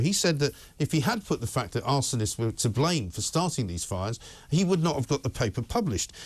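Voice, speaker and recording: Against a quiet background, a man with a fairly high pitch and vocal fry talks very fast in a passionate tone, his pitch swinging very widely. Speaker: talk radio presenter. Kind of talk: opinionated talk radio monologue. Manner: passionate, ranting, sarcastic.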